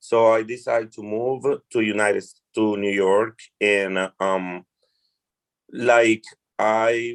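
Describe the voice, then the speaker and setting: Very slow and full of long, frequent pauses, a man speaks with a Colombian accent. His fairly low voice stays flat and monotone. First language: Spanish. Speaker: restaurant hospitality worker. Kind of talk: interview.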